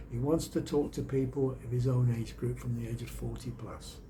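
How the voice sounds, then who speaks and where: A man with a Birmingham accent at a moderate pace, with audible room echo. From England, Birmingham. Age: 60s. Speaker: YouTuber and storyteller. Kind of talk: casual vlog monologue.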